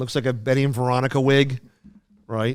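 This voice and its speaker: A man speaks at a medium pitch with a strong Philadelphia accent. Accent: thick Philadelphia. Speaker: podcast co-host. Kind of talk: casual chat. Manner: halting, many fillers and restarts.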